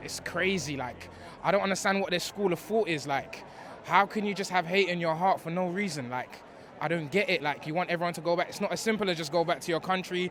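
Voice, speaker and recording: A man with a London accent talks at a very fast pace in a high pitch, with an animated tone and ordinary pitch variation. Noticeable background noise sits behind him. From East London, England. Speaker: interviewee. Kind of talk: casual street interview.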